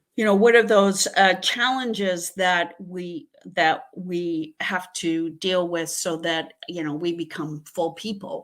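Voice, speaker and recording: At a very slow pace, a woman talks in a bright, sharp tone at medium pitch with ordinary pitch variation. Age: 60s. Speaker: Jungian analyst and astrologer. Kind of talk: interview. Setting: live video call. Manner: halting, many fillers.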